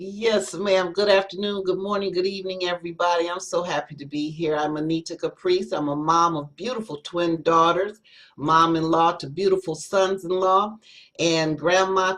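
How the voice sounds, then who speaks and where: Here is a woman with an ordinary speaking voice. Her fairly low voice moves at a moderate pace with ordinary pitch variation. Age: 60s. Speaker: spoken word poet. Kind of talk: self-introduction on panel.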